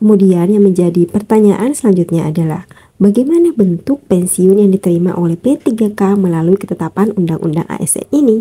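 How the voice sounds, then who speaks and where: The voice, somewhat breathy with ordinary pitch variation, moves at a fairly quick pace with hardly any pauses. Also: woman, medium pitch for a woman. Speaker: YouTuber sharing news for teacher candidates. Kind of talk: reading aloud an article with commentary. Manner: casual with frequent fillers.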